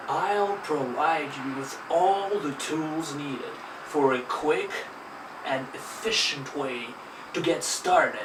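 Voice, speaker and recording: Very slowly, a man talks at a fairly high pitch with ordinary pitch variation, with audible room echo and noticeable background noise. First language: Russian. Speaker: language teacher. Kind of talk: tutorial. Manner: animated.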